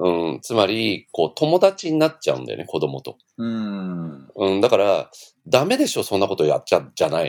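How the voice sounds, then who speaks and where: On a very clean recording with a silent background, a man speaks at a moderate pace with big swings in loudness. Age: 50s. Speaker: former daycare owner. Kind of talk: casual interview.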